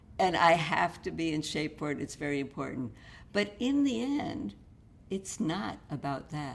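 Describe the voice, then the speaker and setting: Her very deep, low pitch carries vocal fry and very wide pitch swings. The woman speaks at a moderate pace. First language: Russian. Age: 70s. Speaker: author. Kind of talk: interview.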